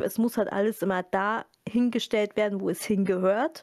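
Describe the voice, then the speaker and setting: A woman speaks in an ordinary speaking voice. Her pitch is fairly high, with ordinary pitch variation. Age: 30s. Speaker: library media specialist. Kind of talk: casual interview.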